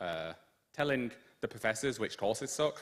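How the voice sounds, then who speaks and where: The speaker is a man with a British accent. He uses lively intonation. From Britain. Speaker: student union liaison, guest speaker. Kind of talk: lecture presentation.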